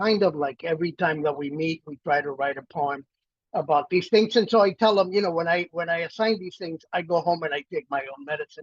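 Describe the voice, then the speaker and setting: In an American accent, a high-pitched man talks at a fairly quick pace with ordinary pitch variation in a dry, close recording with no echo. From Miami, South Florida (Cuban-born, arrived as child). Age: 60s. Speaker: poet and professor. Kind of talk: casual talk before a poetry reading. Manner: halting, many fillers.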